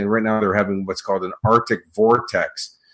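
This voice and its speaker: On a very clean recording with a silent background, a man talks at a moderate pace and a medium pitch. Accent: Chicago. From US Midwest, Chicago. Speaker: motivational speaker and coach. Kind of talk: interview.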